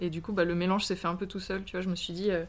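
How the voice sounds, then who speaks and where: The woman speaks at a very fast pace. Her medium pitch holds a fairly even intonation. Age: 30s. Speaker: street artist. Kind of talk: interview.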